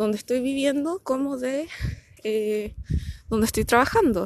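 Someone speaks with a Chilean accent at a fairly slow pace. The sound is dry and close, with no echo. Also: woman, quiet background. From Chile, Punta Arenas (Magallanes). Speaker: podcaster and amateur runner. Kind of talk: casual monologue. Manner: animated.

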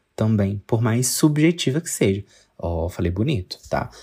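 In a very clean recording with a silent background, a man speaks quietly in a dark, mellow tone that is somewhat breathy. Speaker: podcast host. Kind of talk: casual monologue. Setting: bedroom at home, late night.

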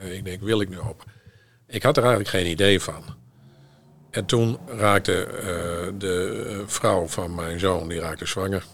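A man's fairly low voice, very slow, with fairly even intonation and big swings in loudness. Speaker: podcast co-host. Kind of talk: casual chat.

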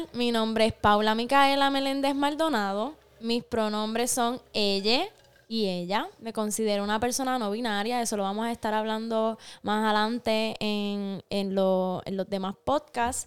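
In a Puerto Rican accent, a woman talks at a fairly slow pace and fairly high pitch on a very clean recording with a silent background. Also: ordinary pitch variation. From Puerto Rico. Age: 20s. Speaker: podcast co-host. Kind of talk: casual chat. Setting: studio.

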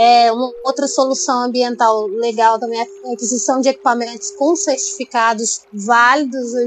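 A woman's high voice runs with hardly any pauses and ordinary pitch variation. Noticeable background noise can be heard. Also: moderate pace. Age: 30s. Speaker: environmental engineer. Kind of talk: casual interview.

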